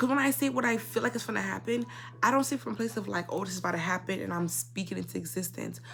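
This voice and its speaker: Very fast speech over music in the background. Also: woman. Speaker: YouTuber. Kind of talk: casual storytime monologue. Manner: stutters a lot.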